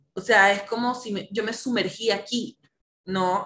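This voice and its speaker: A bright, sharp tone at a fairly slow pace, with ordinary pitch variation. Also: woman. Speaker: psychologist and coach. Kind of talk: casual chat.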